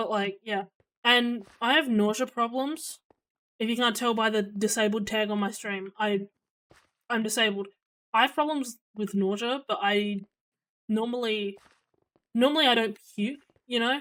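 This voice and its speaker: A woman with an Australian accent speaks at a moderate pace and a fairly high pitch, with fairly even intonation. She leaves long, frequent pauses, and the recording is very clean with a silent background. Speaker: streamer. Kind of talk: casual chat. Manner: loud; hesitant, many fillers.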